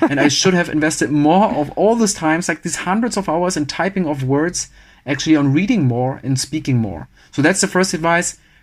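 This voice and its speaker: Speaking at a fairly quick pace with a German accent, a man uses a fairly high pitch and lively intonation on a very clean recording with a silent background. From Germany. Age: 30s. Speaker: engineer and social media personality. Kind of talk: podcast interview. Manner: fast.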